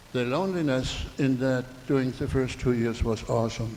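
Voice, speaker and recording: A man speaks with a German accent at a moderate pace. His intonation is fairly even. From Germany. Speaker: audience member. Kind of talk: public comment at community meeting.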